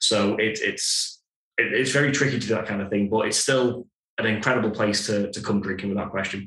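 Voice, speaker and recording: A man with an unremarkable speaking voice, fairly low in pitch, at a fairly quick pace with fairly even intonation. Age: 30s. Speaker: brewery co-founder. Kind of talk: casual chat.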